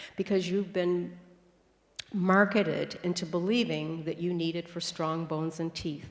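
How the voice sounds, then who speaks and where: Her pitch fairly low, a woman speaks at a moderate pace. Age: 60s. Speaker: raw food health speaker. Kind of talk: conference talk. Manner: animated.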